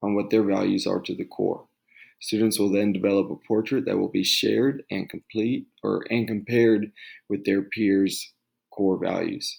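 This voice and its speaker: The delivery is soft-spoken, at a moderate pace. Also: man. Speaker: teacher. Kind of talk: tutorial. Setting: at home.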